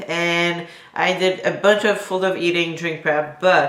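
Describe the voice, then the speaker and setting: A woman with a French Canadian accent speaks at a fairly low pitch with fairly even intonation, and audible room echo surrounds her voice. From Quebec. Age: 20s. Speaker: bodybuilding competitor and YouTuber. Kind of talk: casual Q&A vlog. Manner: casual with many fillers.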